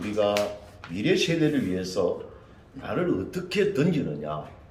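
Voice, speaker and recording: A male voice, fairly slow in pace, carries audible room echo. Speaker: election candidate. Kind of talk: interview. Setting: candidate's office.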